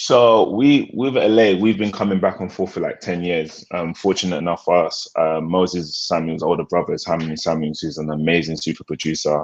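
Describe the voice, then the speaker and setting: Spoken with a British accent, the voice moves at a fairly quick pace with ordinary pitch variation and hardly any pauses. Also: man, very deep, low pitch for a man. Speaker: music producer and artist. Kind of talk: interview. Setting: live stream.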